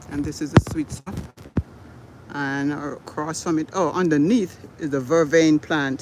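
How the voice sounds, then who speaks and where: A man with a fairly high pitch talks at a fairly slow pace, his intonation fairly even, with long, frequent pauses and noticeable background noise. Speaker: gardening channel host. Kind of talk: live stream garden tour. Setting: outdoors in garden.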